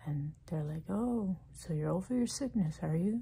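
A woman's very deep, low voice with a dark, mellow tone, somewhat breathy, with lively intonation at a fairly slow pace. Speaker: ASMR creator. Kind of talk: ASMR talk to camera about frustration and illness. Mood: frustrated, weary, empathetic. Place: home room. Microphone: phone near.

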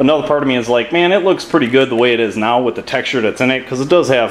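A man at a very fast pace with ordinary pitch variation over light background noise. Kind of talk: tutorial commentary. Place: garage. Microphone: phone near.

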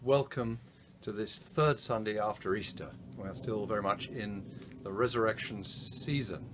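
Moderate pacing and ordinary pitch variation from a man with a fairly low voice, amid noticeable background noise. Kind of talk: service welcome address. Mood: warm, gentle, reassuring. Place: garden. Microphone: camera far.

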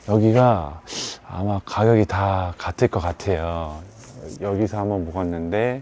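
Speaking at a fairly slow pace, a man with a fairly low pitch uses lively intonation in a dry sound with no echo. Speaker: travel and food vlogger; food vlogger. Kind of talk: walking travel vlog narration. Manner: casual, conversational. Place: street. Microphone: phone near.

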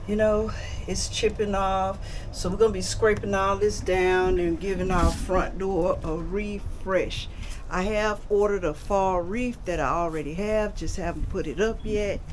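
Light background noise sits under a woman's voice. She speaks at a fairly slow pace with fairly even intonation. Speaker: homeowner vlogger. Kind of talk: casual vlog chat. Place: street. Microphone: phone near.

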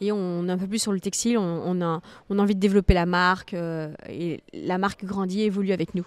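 With a plain, everyday voice, a woman speaks at a fairly quick pace, her medium pitch and fairly even intonation heard in a dry sound with no echo. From France, Nantes (early childhood in Martinique); France. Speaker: fitness coach and content creator; fitness coach, content creator. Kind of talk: interview. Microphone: studio mic.

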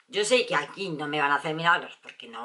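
A woman speaks in a bright, sharp, animated tone. The background is quiet. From Spain, Valencia. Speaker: beauty vlogger. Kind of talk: product review vlog. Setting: at home. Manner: chatty, animated. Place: home room. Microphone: camera far.

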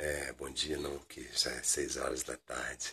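A man is talking. The background is quiet. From Brazil, Rio de Janeiro. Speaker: DJ and musician; DJ. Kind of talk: casual video message to fans. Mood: friendly, grateful. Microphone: phone near.

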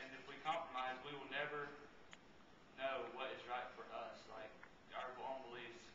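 A man talks at a moderate pace amid noticeable background noise. The room echo is audible. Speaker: speaker. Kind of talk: baccalaureate speech. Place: church. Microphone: camera far.

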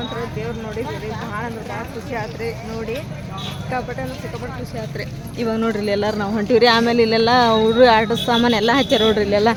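There is audible room echo and noticeable background noise as a woman with a fairly high pitch talks in big swings of loudness. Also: ordinary pitch variation. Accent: North Karnataka. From northern Karnataka, Hadagali area. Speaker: vlogger. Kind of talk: vlog narration. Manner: animated.

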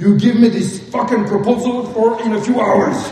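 Fairly even intonation and a fairly slow pace come through audible room echo and noticeable background noise. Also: man. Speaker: speaker, business storyteller. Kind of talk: comic stage talk acting out a business story. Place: stage.

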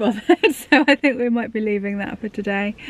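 A woman at a moderate pace, dry sound with no echo, music in the background. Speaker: vlogger. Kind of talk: casual vlog chat. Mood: cheerful, relaxed. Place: car. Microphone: phone near.

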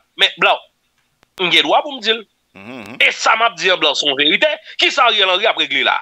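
A man speaks at a fairly quick pace, his loudness swinging widely. The sound is dry with no echo, broken by long, frequent pauses. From Haiti. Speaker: news commentator. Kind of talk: news commentary. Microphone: studio mic.

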